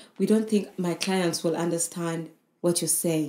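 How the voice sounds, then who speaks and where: A woman speaks at a moderate pace. Her fairly low voice has a dark, mellow tone. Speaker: podcast co-host. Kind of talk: casual chat.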